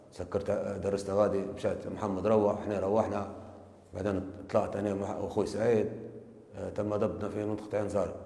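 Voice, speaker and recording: In a room with audible echo, a man speaks in a monotone, flat intonation with long, frequent pauses. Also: fairly low pitch for a man, moderate pace. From Libya. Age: 30s. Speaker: confessing suspect. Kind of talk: recorded confession. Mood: subdued, flat narration. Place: office. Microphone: lapel.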